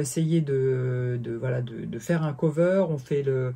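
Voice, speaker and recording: The voice has a dark, mellow tone, somewhat breathy, with ordinary pitch variation. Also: man. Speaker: bass teacher. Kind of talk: tutorial. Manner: halting, many fillers.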